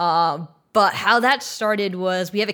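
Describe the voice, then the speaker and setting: A woman with an American accent and an ordinary speaking voice talks at a fairly low pitch with ordinary variation. The recording is very clean, with a silent background. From Texas. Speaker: film and theatre composer. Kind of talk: interview.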